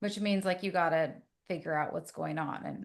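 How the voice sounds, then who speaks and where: Fairly low female speech with vocal fry, at a moderate pace, its pitch varying in an ordinary way. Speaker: therapist. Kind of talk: casual chat. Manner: animated.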